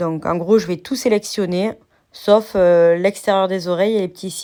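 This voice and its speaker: A woman talks at a fairly slow pace in a dark, mellow tone, her intonation fairly even. Her loudness swings widely. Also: medium pitch for a woman. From southern France. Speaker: crafts youtuber. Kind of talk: software tutorial.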